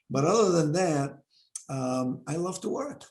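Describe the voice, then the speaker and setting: At a moderate pace, a man with a non-native accent speaks in a fairly high, somewhat breathy voice with lively intonation. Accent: foreign. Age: 70s. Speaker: university president. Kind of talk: interview. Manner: animated.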